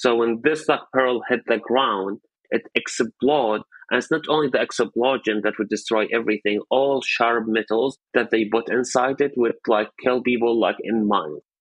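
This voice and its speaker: Speaking at a moderate pace with a medium pitch, a man with an Arabic accent keeps his intonation fairly even and his loudness very even. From Syria, Raqqa. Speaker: journalist, activist. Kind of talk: interview testimony.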